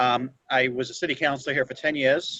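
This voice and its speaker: Speaking at medium pitch, the man has a Boston accent. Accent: Boston-area American. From Chelsea, Massachusetts. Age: 30s. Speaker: former city councilor. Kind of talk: self-introduction.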